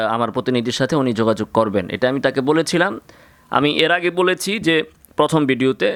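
A man's medium-pitched voice rises and falls with lively intonation. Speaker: Islamic scholar taking calls. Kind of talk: phone-in religious discussion. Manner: animated.

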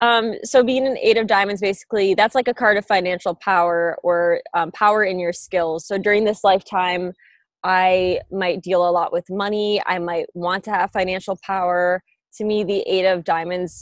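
At a moderate pace, the voice keeps fairly even intonation in a quiet background, with a dry sound and no echo. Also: woman. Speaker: remote interview guest. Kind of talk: interview answer. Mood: relaxed, laughing. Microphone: earbuds.

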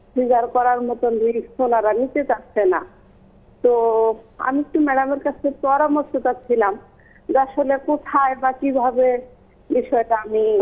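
A woman talks in a high pitch with ordinary variation. Her loudness stays very even. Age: 20s. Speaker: caller, pregnant mother. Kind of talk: call-in question.

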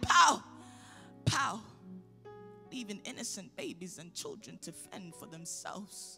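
Over faint background music, a woman speaks in a raised, projected voice at a fairly slow pace. Her pitch swings very widely. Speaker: spoken word poet. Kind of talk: spoken word poetry performance. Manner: impassioned, emphatic. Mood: angry, pleading. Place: hall. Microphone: handheld.

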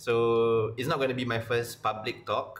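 Fairly slow speech from a man. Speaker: university lecturer. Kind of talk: casual vlog chat. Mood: a little nervous. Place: home room. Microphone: webcam.

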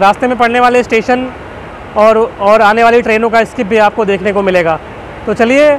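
Fairly even intonation, a dry sound with no echo and light background noise. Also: man. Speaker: travel vlogger. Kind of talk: casual vlog chat. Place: train. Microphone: phone near.

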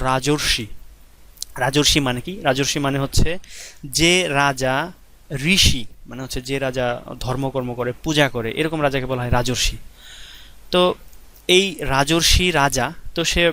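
The man's tone is bright and sharp, with a fairly high pitch. His intonation stays fairly even. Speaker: teacher. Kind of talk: lecture.

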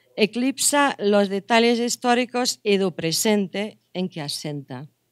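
Against a quiet background, a woman with a Portuguese accent speaks fairly slowly. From Portugal. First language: Portuguese (speaking Spanish). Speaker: anthropology professor; university lecturer. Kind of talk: lecture. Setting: conference room with audience. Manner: halting. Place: hall. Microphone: podium.

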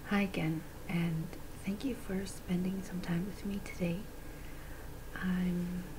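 A woman at a very slow pace with long, frequent pauses, monotone and flat in intonation, over noticeable background noise. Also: medium pitch for a woman. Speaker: beauty vlogger. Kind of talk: ASMR beauty haul, casual chatty talk to camera. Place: home room.

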